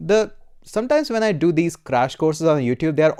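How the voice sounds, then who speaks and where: In a very clean recording with a silent background and a dry, close sound with no echo, a man with an Indian accent speaks in a dark, mellow tone. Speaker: programming YouTuber and course instructor. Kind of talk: live stream Q&A. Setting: live stream. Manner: casual, many filler uhs.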